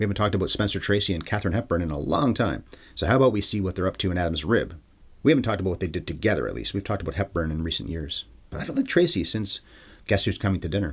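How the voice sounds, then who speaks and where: Somewhat breathy and fairly low-pitched, a man talks at a very fast pace with ordinary pitch variation. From Canada. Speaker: film podcast host. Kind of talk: solo podcast film review monologue.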